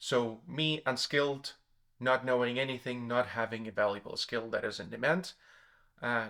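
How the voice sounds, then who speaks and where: The recording is very clean, its background silent. A man talks with a non-native accent, his pitch varying in an ordinary way. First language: not English. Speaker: self-development YouTuber. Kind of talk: explanatory monologue. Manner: hesitant, with fillers and self-corrections.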